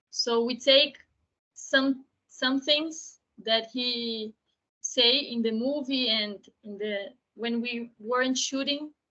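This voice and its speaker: In a Portuguese accent, a woman speaks very slowly with fairly even intonation and long, frequent pauses. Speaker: documentary filmmaker. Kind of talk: panel Q&A. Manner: halting.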